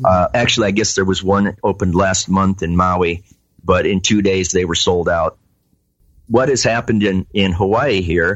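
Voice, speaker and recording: The pace is moderate and the loudness very even. Intonation stays fairly even. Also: man, fairly low pitch for a man. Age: 60s. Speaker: cannabis grower and testing business owner. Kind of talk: interview. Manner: halting, many fillers.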